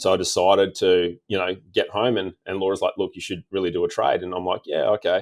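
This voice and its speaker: A man with an Australian accent at a fairly quick pace with hardly any pauses, in a very clean recording with a silent background and a dry, close sound with no echo. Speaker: diesel tuning mechanic. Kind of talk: casual interview chat.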